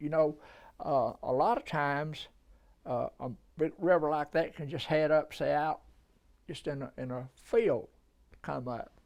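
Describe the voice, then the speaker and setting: A man's fairly high voice in a Southern US accent, with ordinary pitch variation, on a very clean recording with a silent background. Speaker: oral history interviewee. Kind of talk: interview. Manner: halting.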